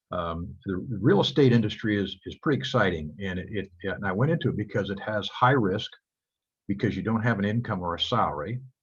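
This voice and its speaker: A man speaks at a fairly quick pace in a fairly low, somewhat breathy voice. His intonation is lively, and the background is quiet. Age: 70s. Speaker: real estate broker. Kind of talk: guest talk to students on video call.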